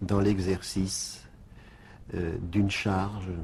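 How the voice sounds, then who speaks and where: A man talks at a very slow pace in a fairly low, somewhat breathy voice with a dark, mellow tone. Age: 60s. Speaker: bishop. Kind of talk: radio interview. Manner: halting, repeats words.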